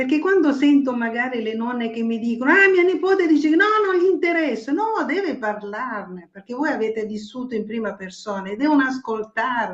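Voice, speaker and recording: A woman speaks at a fairly quick pace in a high pitch. Her pitch swings very widely. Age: 70s. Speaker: writer, guest. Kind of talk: casual chat. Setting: live streaming show. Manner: animated.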